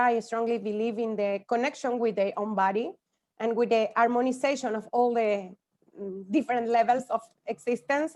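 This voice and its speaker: A woman's fairly high voice with a Spanish accent, ordinary pitch variation and a moderate pace. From Spanish-speaking country. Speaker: yoga teacher. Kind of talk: conference talk. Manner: halting.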